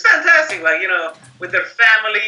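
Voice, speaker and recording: A man speaks while music plays in the background. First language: not English. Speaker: company marketing executive. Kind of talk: interview. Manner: animated.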